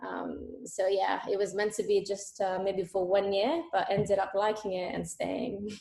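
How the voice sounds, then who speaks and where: Speaking in an Italian accent with vocal fry, a woman keeps her intonation fairly even and hardly pauses at all. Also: medium pitch for a woman. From Italy. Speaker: economics student and intern. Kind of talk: interview. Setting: video call.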